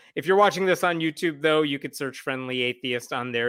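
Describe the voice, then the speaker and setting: A normal speaking voice with lively intonation moves at a moderate pace. The recording is very clean, with a silent background. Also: man. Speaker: atheist blogger guest. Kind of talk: casual discussion.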